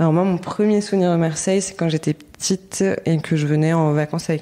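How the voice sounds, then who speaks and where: A woman's very deep, low voice with a dark, mellow tone, fairly even intonation and a fairly quick pace. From Paris, France. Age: 30s. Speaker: artist, set designer and bookbinder. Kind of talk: podcast interview. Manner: hesitant, many fillers.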